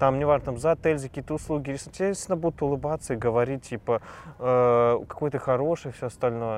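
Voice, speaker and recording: A man at a very fast pace. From Russia, Saint Petersburg. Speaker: entrepreneur and crypto investor. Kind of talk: interview.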